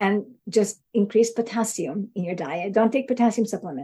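At a moderate pace, a woman with a fairly high pitch speaks in a dark, mellow tone that is somewhat breathy. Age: 60s. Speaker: neuroscience researcher. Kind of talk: interview.

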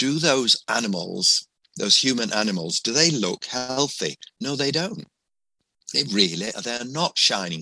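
A man with a medium pitch and vocal fry talks at a fairly slow pace, his tone bright and sharp with very wide pitch swings. The sound is dry and close, with no echo. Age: 60s. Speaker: family doctor. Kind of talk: interview.

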